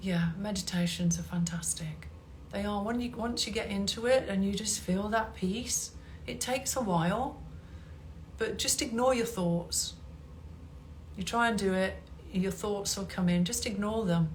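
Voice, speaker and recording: With audible room echo, a woman speaks with long, frequent pauses. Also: moderate pace. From England. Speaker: hypnotherapist and meditation teacher. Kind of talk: live stream talk. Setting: Instagram live stream.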